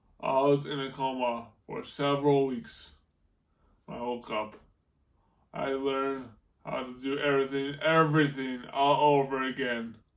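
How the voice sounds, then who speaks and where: A man's fairly high voice with fairly even intonation, in a room with audible echo. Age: 20s. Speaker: car crash survivor, motivational speaker. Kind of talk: prepared presentation to students. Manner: halting, repeats and restarts words; slow, effortful.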